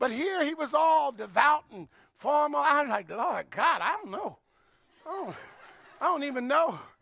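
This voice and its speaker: A man speaks in a raised, projected voice at an extremely high pitch, with lively intonation. His pace is moderate, broken by long, frequent pauses. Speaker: guest preacher. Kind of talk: sermon. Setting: church with congregation. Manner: loud; animated.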